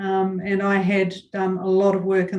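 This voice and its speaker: A woman talks with flat, monotone intonation at a medium pitch. There is audible room echo around her voice. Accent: New Zealand. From New Zealand. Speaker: chamber of commerce chief executive. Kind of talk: interview. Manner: hesitant, many fillers.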